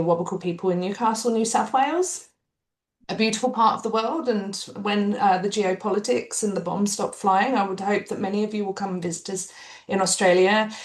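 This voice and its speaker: A fairly quick-paced woman with a British accent. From UK. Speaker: refugee education researcher. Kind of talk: academic panel presentation. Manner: hesitant, many fillers.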